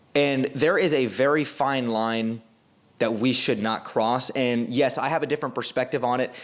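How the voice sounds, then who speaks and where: A man with a normal speaking voice, medium in pitch, at a moderate pace with ordinary pitch variation. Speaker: basketball commentator and content creator. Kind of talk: unscripted commentary monologue.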